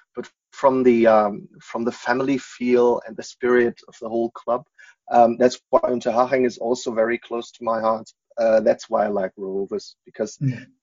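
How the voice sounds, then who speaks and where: A man's medium-pitched voice with a German accent, at a moderate pace, with fairly even intonation and big swings in loudness. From Germany, Munich area. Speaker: football fan. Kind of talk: casual interview.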